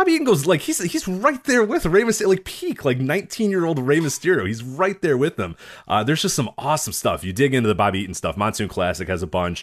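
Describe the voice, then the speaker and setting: Very fast male speech, full of vocal fry, with very wide swings in pitch. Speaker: wrestling podcast co-host. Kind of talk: casual chat. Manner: loud.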